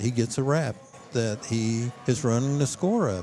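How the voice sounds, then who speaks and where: The background noise is noticeable as a man talks. His pitch is medium, with ordinary variation. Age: 70s. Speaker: football assistant coach. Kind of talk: interview. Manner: animated, emphatic.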